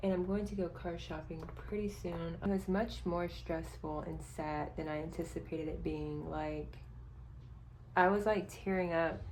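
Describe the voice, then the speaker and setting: A woman at a moderate pace, amid noticeable background noise and audible room echo. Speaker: budgeting vlogger. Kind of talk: casual vlog.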